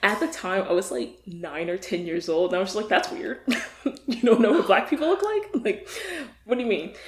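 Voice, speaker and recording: Moving at a fairly quick pace with very wide pitch swings, a woman with an American accent and a medium pitch is heard over noticeable background noise. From US South, Virginia. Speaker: podcast guest. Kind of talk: casual chat.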